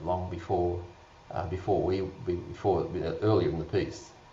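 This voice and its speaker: A man's very deep, low voice at a moderate pace, with audible room echo and noticeable background noise. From Australia. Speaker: vaping advocate panelist. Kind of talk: panel discussion.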